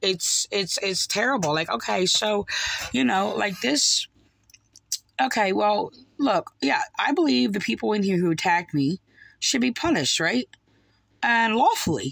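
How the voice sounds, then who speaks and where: A woman with an American accent at a fairly slow pace, long and frequent pauses, dry sound with no echo, and a quiet background. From New Jersey, US. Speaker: online religious commentator. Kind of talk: video commentary. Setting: home recording, replaying video clips. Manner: halting, many fillers. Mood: upset, critical. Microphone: phone near.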